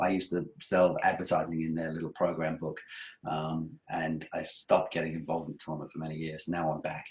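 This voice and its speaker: A man with an English accent, very deep and low in pitch, flat and monotone, at a fairly quick pace. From England. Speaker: webinar presenter, sponsorship sales consultant. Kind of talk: webinar presentation. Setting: online webinar with screen share.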